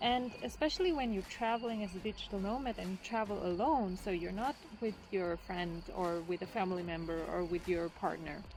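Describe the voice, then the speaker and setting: A woman with a non-native accent speaks at a moderate pace, her medium-pitched voice carrying lively intonation. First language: not English. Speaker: travel vlogger. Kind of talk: casual vlog talk to camera.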